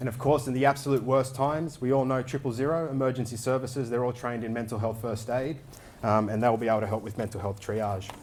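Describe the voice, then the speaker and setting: Talking at a very fast pace, a man with an Australian accent has a medium pitch. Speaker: crypto project lead. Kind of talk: conference talk.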